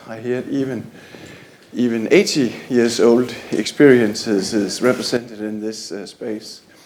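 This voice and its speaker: A man's very slow speech with audible room echo and noticeable background noise. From Denmark. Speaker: library manager. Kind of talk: conference presentation. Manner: halting, many fillers.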